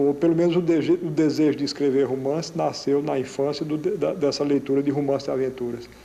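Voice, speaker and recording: A man with a northeastern Brazilian accent speaks with fairly even intonation. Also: fairly high pitch for a man, fairly quick pace. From Paraíba, northeastern Brazil. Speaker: playwright and novelist. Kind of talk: interview answer.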